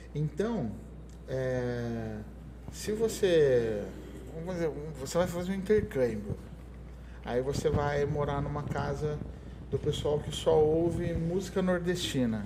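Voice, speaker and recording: A man speaks at a very slow pace with long, frequent pauses. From Brazil, São Paulo state (Ribeirão Preto area). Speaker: conductor and music teacher. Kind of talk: interview. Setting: school podcast recording.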